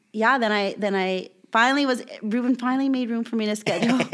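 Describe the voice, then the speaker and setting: A woman with an American accent at a moderate pace, fairly even in intonation, in a very clean recording with a silent background. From Southern California, Bloomington. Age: 30s. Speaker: guest sharing life story. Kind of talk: testimony.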